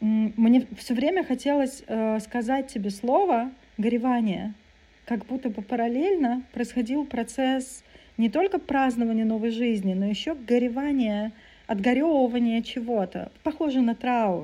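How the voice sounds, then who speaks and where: A woman speaks at a fairly slow pace in a high voice with a dark, mellow tone and ordinary pitch variation. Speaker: psychotherapist and podcast co-host. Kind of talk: casual chat. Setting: video call.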